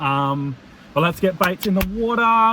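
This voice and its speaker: Loud and high-pitched, a man with an Australian accent speaks in a bright, sharp tone. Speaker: fishing vlogger. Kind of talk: casual vlog narration. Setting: in a car; outdoors on a beach at night. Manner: animated.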